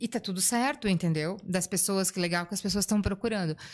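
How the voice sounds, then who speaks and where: A woman has an unremarkable speaking voice at medium pitch with ordinary pitch variation. The recording is very clean, with a silent background. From Blumenau, Santa Catarina, southern Brazil. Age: 40s. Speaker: hospital clown volunteer. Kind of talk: casual interview.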